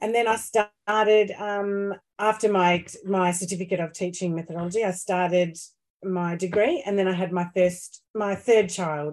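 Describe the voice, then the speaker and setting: Here a woman talks in an Australian accent at a moderate pace. Her pitch is medium and her intonation fairly even. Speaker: Italian language school founder. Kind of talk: casual interview chat. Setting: video call.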